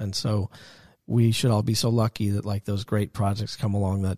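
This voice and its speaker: A man's fairly low, somewhat breathy voice with a dark, mellow tone and an American accent, monotone and flat, at a fairly quick pace, on a very clean recording with a silent background and a dry, close sound with no echo. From US Northeast, Westchester County, New York. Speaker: film and TV composer. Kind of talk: interview in his studio. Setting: recording studio.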